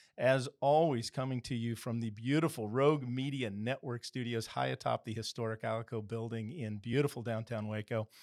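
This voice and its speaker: The sound is dry and close with no echo, and the speech has hardly any pauses. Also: man, medium pitch for a man, fairly quick pace. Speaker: podcast host and mortgage broker. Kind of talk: interview. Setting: studio. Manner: animated, enthusiastic.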